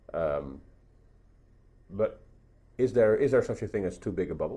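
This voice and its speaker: Speaking with a Dutch accent, a man uses a fairly low pitch and a dark, mellow tone with vocal fry and lively intonation. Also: moderate pace. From Netherlands. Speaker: podcast host, tech journalist. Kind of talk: interview conversation. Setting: at a conference event. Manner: halting, many repeats and fillers.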